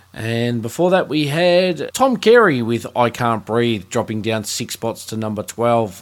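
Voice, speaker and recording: Speaking at a fairly slow pace, a man with an Australian accent uses lively intonation. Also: medium pitch for a man, hardly any pauses. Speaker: radio host. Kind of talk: radio DJ patter, friendly and welcoming, introducing songs. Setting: studio. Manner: relaxed, upbeat, chatty; clear, brisk announcer delivery.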